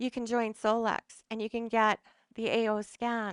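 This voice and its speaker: A woman with a Canadian accent speaks at a fairly high pitch. Her intonation is monotone and flat, and the background is quiet. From western Canada. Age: 60s. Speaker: wellness speaker. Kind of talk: talk to a live audience. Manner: halting.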